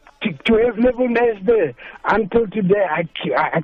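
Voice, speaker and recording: Music in the background behind a man's high voice. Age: 60s. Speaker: caller. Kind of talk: phone-in chat.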